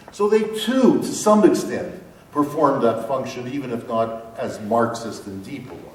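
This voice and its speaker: Speaking at a moderate pace with a Canadian accent, a man uses a medium pitch with very wide pitch swings and big swings in loudness, amid noticeable background noise and audible room echo. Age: 60s. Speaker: professor. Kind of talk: lecture.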